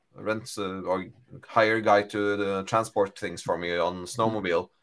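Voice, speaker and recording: A man speaks with a Norwegian accent in a fairly low voice. His intonation is monotone and flat. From Norway. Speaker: data architect. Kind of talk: casual chat.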